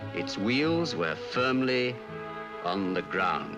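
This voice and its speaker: Music plays in the background. A man speaks at medium pitch with lively intonation. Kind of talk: documentary narration.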